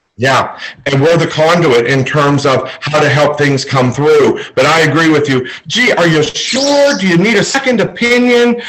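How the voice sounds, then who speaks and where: Very even loudness and lively intonation at a moderate pace, with audible room echo and noticeable background noise. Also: man, fairly high pitch for a man. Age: 60s. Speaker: psychic medium. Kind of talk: casual chat.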